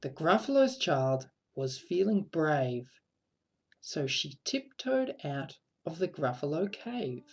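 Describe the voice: Audible room echo surrounds a woman speaking at a slow pace and low pitch. Her slightly mellow tone shows big pitch swings.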